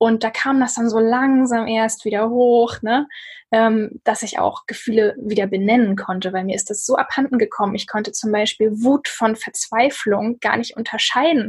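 A woman's somewhat breathy voice keeps a fairly even intonation. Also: fairly high pitch for a woman, moderate pace. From northern Germany, Lübeck. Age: 30s. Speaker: author and blogger. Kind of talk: casual interview conversation.

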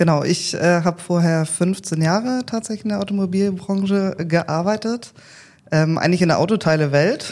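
Here is a woman with an ordinary speaking voice. Her pitch is fairly low, with ordinary variation. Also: moderate pace. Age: 30s. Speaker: training academy manager. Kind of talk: casual interview.

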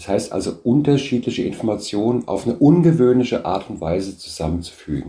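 Here a man speaks at medium pitch with lively intonation. His tone is dark and mellow. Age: 60s. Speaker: business founder. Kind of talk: interview.

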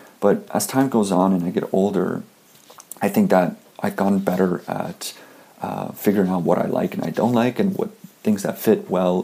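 A man at a moderate pace in a Canadian accent, with noticeable background noise. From Canada. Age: 20s. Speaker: fashion blogger. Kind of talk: interview.

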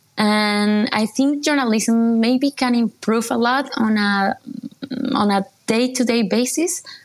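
A woman with a Spanish accent speaks very slowly at a fairly high pitch, her pitch varying in an ordinary way. Her loudness stays very even. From Colombia. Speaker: journalist. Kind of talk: interview.

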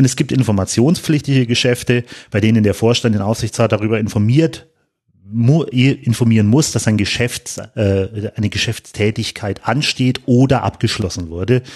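Over a quiet background, a man speaks at a moderate pace and medium pitch with ordinary pitch variation. His loudness stays very even. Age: 30s. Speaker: football club supervisory board member. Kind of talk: podcast interview. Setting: studio, in person. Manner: hesitant, many fillers.

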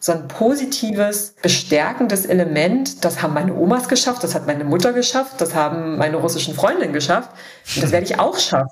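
A woman with a normal speaking voice talks at a fairly quick pace in a fairly low pitch, her intonation lively. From eastern Germany, Dessau (Saxony-Anhalt). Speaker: founder of a women's leadership network. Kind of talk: interview.

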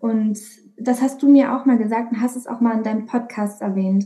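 A woman with an ordinary speaking voice talks at a fairly high pitch with fairly even intonation. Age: 20s. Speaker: primary school music teacher. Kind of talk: interview. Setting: video call.

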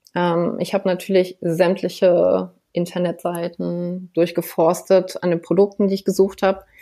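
A woman's tone comes across dark and mellow. Her voice sits at a medium pitch. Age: 30s. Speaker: psoriasis patient. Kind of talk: interview.

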